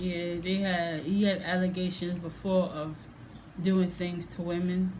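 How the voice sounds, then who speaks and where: Fairly low-pitched and fairly slow, a woman speaks in a monotone, flat way amid audible room echo and noticeable background noise. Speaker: reaction video vlogger. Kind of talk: casual vlog monologue. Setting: at home.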